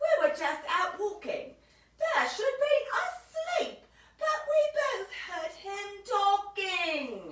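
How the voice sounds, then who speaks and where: In a put-on character voice, a woman speaks at an extremely high pitch with very wide pitch swings. Her pace is very slow, and there is a slight echo. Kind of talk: bedtime story. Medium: read story.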